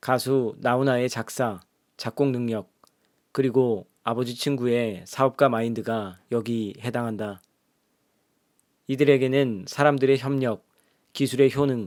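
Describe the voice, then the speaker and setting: This man, with a medium pitch, talks at a fairly slow pace with long, frequent pauses and fairly even intonation. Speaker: audiobook narrator. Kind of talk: audiobook reading. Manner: soft, ASMR-style.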